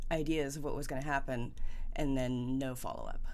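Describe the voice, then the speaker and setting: A woman's very deep, low voice with ordinary pitch variation. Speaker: vlogger. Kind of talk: casual vlog chat, personal update. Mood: reflective, candid. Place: home room.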